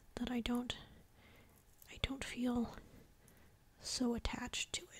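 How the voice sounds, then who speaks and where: Whispering at a very slow pace, broken by long, frequent pauses. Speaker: ASMR creator. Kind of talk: casual talk to camera. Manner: soft-spoken, quiet.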